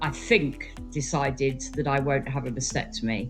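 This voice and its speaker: Over music in the background, a woman speaks at a very deep, low pitch with lively intonation. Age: 60s. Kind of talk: interview answer.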